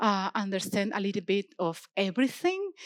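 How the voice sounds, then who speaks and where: Recorded dry and close with no echo, a woman speaks at a fairly slow pace. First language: not English. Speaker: software engineer, open-source maintainer. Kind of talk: conference keynote. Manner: halting, many fillers and restarts.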